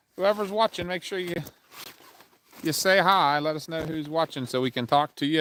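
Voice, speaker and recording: Pitched fairly high, a man talks at a moderate pace with ordinary pitch variation. The sound is dry and close, with no echo. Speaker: paranormal investigator livestreamer. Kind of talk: casual livestream chat. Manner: loud.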